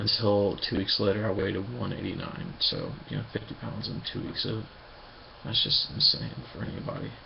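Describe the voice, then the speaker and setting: A man whispering at a fairly quick pace, with audible room echo and noticeable background noise. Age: 20s. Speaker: vlogger. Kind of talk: personal video diary. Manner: halting.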